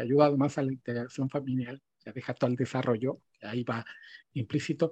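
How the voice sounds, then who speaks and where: In a dark, mellow tone, a man speaks at a moderate pace with a dry, close sound and no echo. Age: 50s. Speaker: podcast host, digital strategy director. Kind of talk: interview.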